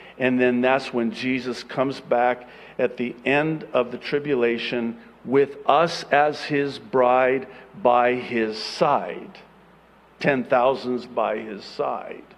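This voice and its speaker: Speaking very slowly with fairly even intonation, a man at a medium pitch is heard with audible room echo. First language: Arabic. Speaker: pastor. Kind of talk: sermon.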